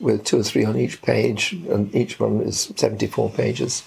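A man is heard over noticeable background noise. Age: 80s+. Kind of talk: interview.

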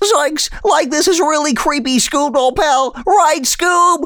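A put-on character voice speaks at a high pitch and a fairly slow pace. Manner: scared, goofy.

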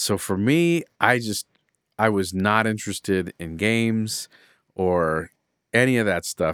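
With lively intonation, a man speaks in an ordinary speaking voice at a fairly low pitch, the sound dry and close with no echo. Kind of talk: casual chat.

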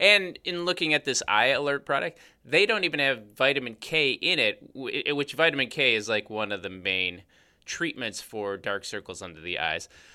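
Speaking at a moderate pace, a man with a fairly high pitch and vocal fry makes very wide pitch swings. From US Midwest, Chicago. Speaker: podcast host, cosmetic chemist. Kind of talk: casual chat.

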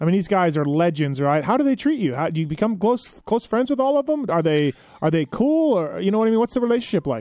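A man's high-pitched, very fast delivery with hardly any pauses, very wide pitch swings and very even loudness over noticeable background noise. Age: 40s. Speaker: podcast host. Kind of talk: casual interview. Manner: casual, filler-heavy.

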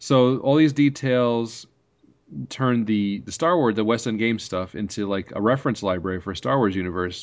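A man with an American accent has a normal speaking voice at a medium pitch. He talks at a moderate pace with ordinary pitch variation. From New York. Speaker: podcast host. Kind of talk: casual chat.

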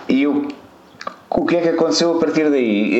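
A man with a European Portuguese accent speaks at a fairly slow pace amid noticeable background noise and audible room echo. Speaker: podcast co-host. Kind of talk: casual chat.

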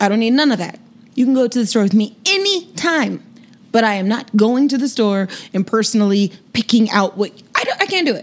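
A woman has an ordinary speaking voice with a fairly high pitch. She talks at a fairly quick pace with lively intonation. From Sacramento, California. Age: 30s. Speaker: legal sex worker guest. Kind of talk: casual chat.

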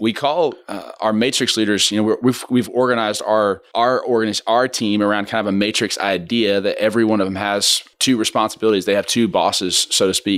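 A man with an American accent, fairly low pitch, fairly even intonation and a fairly quick pace, in a plain, everyday voice. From Kansas, Wichita. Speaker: church ministry leader. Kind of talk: casual chat.

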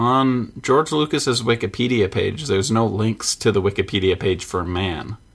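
On a very clean recording with a silent background, a man speaks fairly slowly in a medium pitch with hardly any pauses, a plain, everyday voice. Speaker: band member and podcast co-host. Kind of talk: radio dj patter, hyped-up show intro bit. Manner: excitable, bantering, playful with drawn-out catchphrase hype.

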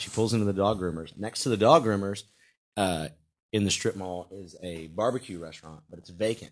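A man in a Southern US accent talks at a fairly quick pace with ordinary pitch variation on a very clean recording with a silent background. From US South, Charlotte, North Carolina. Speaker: stand-up comedian and co-host. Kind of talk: casual chat. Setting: studio.

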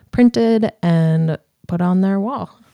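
At a fairly slow pace, a woman speaks in a fairly low pitch, the sound dry and close with no echo. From eastern Montana. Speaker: freelance illustrator. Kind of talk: casual interview chat.

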